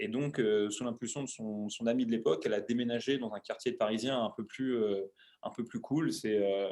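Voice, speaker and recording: At a moderate pace, a man speaks with a dark, mellow tone at medium pitch. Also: fairly even intonation. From Paris, France (18th arrondissement). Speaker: CrossFit coach and show creator. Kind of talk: interview, casual chat. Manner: hesitant, many fillers.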